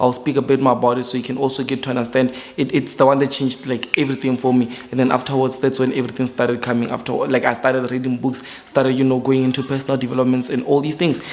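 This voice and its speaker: Against noticeable background noise, a man at medium pitch speaks at a very fast pace with monotone, flat intonation. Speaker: forex trader and YouTuber. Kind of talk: casual vlog talk to camera. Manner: hesitant with fillers and repetitions.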